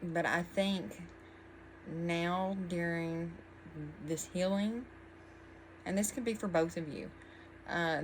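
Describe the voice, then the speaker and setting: A woman speaks with an American accent at a fairly low pitch and a very slow pace. Her pitch variation is ordinary, and the room echo is audible. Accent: twang, often mistaken for Texan. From Virginia. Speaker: tarot reader. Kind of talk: tarot reading. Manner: casual, meandering with many fillers.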